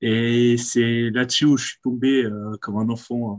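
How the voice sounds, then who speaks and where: This man's voice sits at a medium pitch, flat and monotone. The sound is dry and close, with no echo. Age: 20s. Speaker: sports fan guest. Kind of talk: casual chat.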